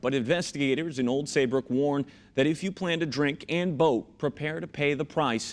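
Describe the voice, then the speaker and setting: A man with an American accent has an unremarkable speaking voice, a fairly high pitch, ordinary pitch variation, and a moderate pace. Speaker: television news anchor and reporter. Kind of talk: field report voiceover.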